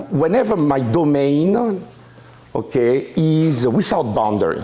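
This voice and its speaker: Amid noticeable background noise and audible room echo, a man with a French accent speaks fairly slowly at a fairly high pitch, his voice making very wide pitch swings. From France. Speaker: mathematics professor. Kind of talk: lecture. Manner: halting, many fillers and restarts.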